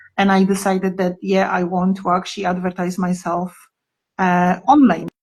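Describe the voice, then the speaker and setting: Somewhat breathy woman with a Polish accent, medium pitch, moderate pace. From Poland. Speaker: therapist. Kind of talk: casual chat. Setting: Instagram live video call.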